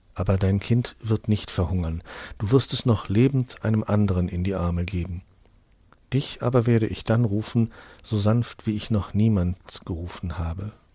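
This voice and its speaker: A man speaks at a fairly slow pace in a fairly low, somewhat breathy voice with a dark, mellow tone. His tone is solemn and sad, with ordinary pitch variation. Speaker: audiobook narrator. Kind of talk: dramatic fairy-tale narration, reading aloud. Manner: solemn, hushed and tender, slowing into a sad, gentle tone for the plague scene; storytelling, directly addressing listeners.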